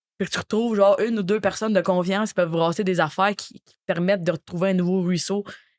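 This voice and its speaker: A woman's medium-pitched voice at a very fast pace, with fairly even intonation, big swings in loudness, and a dry, close sound free of echo. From Quebec, Drummondville area. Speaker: comedian. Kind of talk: casual chat.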